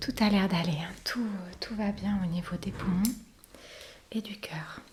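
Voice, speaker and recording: A soft-spoken woman at a medium pitch, talking at a very slow pace with fairly even intonation over noticeable background noise. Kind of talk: ASMR doctor role-play.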